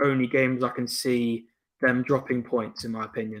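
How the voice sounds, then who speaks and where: A man speaks in an English accent with monotone, flat intonation. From England. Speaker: football podcast panelist. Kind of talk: casual chat.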